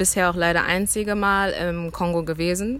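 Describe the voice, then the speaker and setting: A woman talks at a fairly slow pace, her pitch sitting in the middle of the female range. She has an ordinary speaking voice. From Germany, Cologne. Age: 20s. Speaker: student. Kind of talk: interview.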